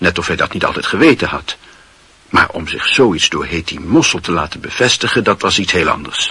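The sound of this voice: Putting on a character voice, a man speaks at a fairly quick pace with a low pitch, a bright, sharp tone, a husky, rough edge and lively intonation.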